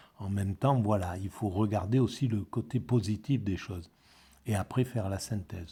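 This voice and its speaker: Over a very clean, silent background, a man speaks slowly in a dark, mellow, somewhat breathy tone, fairly low in pitch with ordinary variation. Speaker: philosophy video blogger. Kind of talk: spoken commentary on a book. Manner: halting, many repetitions.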